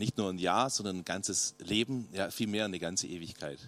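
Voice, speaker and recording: A man speaks at a very fast pace in an animated tone. The recording is very clean, with a silent background and a dry, close sound with no echo. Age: 50s. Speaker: youth pastor. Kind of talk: sermon.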